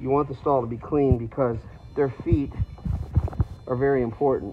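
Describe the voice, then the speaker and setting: A man speaks with fairly even intonation. Music plays in the background. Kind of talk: tutorial. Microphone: phone near.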